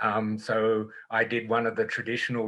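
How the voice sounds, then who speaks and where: A man of medium pitch with an Australian accent. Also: very clean recording, silent background. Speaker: engineering professor. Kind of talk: panel discussion.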